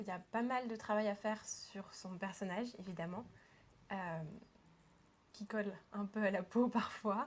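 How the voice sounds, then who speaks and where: A woman's somewhat breathy, medium-pitched voice at a fairly slow pace, with fairly even intonation and long, frequent pauses. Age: 20s. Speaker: student actor. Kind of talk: interview.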